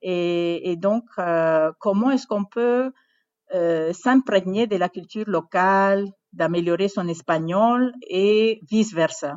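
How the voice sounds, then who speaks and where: With a Spanish accent, a woman speaks at a very slow pace. Her medium pitch shows ordinary variation. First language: Spanish (speaking French). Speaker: university language program director. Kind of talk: interview. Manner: halting, many hesitations.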